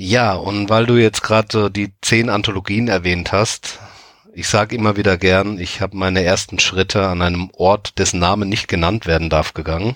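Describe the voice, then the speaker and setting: Using a plain, everyday voice, a man speaks at a fairly low pitch and moderate pace with fairly even intonation. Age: 30s. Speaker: anthology editor. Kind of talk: casual chat.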